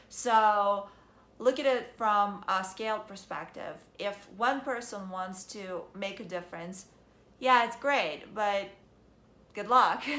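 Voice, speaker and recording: At a fairly slow pace, a woman with a medium-pitched, bright, sharp voice and lively intonation talks in a room with audible echo. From Ukraine. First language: Russian. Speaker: vlogger. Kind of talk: casual monologue vlog.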